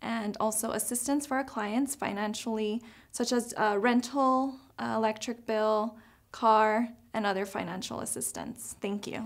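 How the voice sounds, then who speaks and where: In an American accent, a woman with an ordinary speaking voice talks at a fairly slow pace and fairly high pitch on a very clean recording with a silent background. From Tucson, Arizona. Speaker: case manager. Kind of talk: prepared self-introduction.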